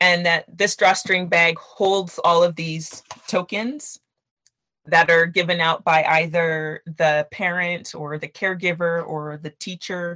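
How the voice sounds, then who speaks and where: Using an unremarkable speaking voice, a woman with a fairly low pitch talks at a fairly slow pace with fairly even intonation. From Canada, Nigerian parents. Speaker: children's book author. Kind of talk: interview.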